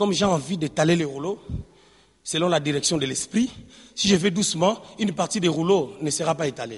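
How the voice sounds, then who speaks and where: Against a quiet background, a man with a high voice sounds animated, leaving long, frequent pauses. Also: ordinary pitch variation, fairly quick pace. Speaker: preacher. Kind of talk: sermon.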